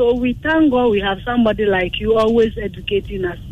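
Moderate-paced speech in a Ghanaian accent, with noticeable background noise. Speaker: caller. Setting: phone call.

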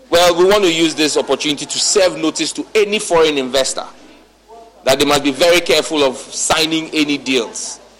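Noticeable background noise under a fairly quick pace. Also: man, fairly high pitch for a man, ordinary pitch variation. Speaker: politician. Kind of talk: parliamentary speech / political argument. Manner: combative, rhetorical questioning.

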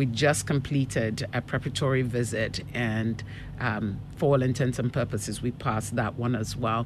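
A woman with a very deep, low pitch talks at a moderate pace, her intonation fairly even. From Ghana. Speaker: school principal. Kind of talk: casual interview chat. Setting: radio studio interview.

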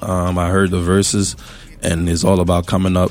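A man with a Philadelphia accent speaks very deep and low at a fairly quick pace. Noticeable background noise runs behind him. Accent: Philadelphia American English. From US, West Philadelphia. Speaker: musician. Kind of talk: casual interview.

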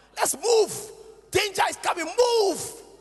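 Amid noticeable background noise, a man with an extremely high voice speaks at a fairly slow pace. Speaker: pastor. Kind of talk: sermon. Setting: church.

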